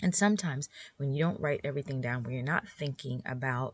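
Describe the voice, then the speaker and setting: A woman with a very deep, low pitch talks at a fairly quick pace, with lively intonation and a relaxed tone. Her voice is somewhat breathy, and the sound is dry and close with no echo. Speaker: podcast host for homeschool moms. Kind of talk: casual solo podcast talk.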